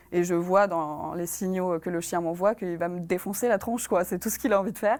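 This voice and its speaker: A woman speaks at a very fast pace. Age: 20s. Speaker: former veterinary assistant. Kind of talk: testimony. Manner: halting, many hesitations.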